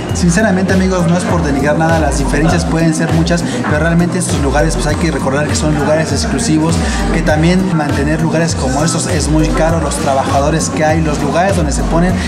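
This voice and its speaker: Loud music plays in the background. Over it, a man talks at a very fast pace with hardly any pauses. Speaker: vlogger host. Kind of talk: casual vlog chat. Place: cafe. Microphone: phone near.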